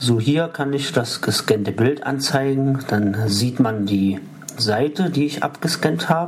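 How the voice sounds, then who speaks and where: Lively intonation carries a very slow delivery over noticeable background noise. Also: man, medium pitch for a man. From Saxony-Anhalt, Harz (Halberstadt). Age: 30s. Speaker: visually impaired tech reviewer. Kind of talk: tutorial.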